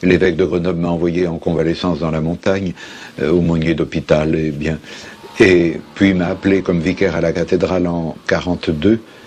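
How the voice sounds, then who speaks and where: A man with a very deep, low voice speaks at a moderate pace in a flat monotone over noticeable background noise. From France, Lyon. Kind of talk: interview answer.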